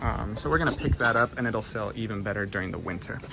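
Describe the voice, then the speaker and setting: Noticeable background noise sits under speech that moves fairly quickly. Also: man. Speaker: thrift reseller vlogger. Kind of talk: casual vlog narration. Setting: thrift store. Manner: fast; animated.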